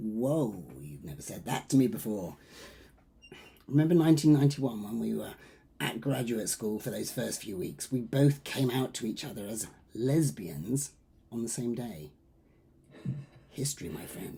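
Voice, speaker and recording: In a raspy, put-on character voice with very wide pitch swings, the speaker moves at a moderate pace with long, frequent pauses. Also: man, medium pitch for a man. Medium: stage play. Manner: teasing, blunt.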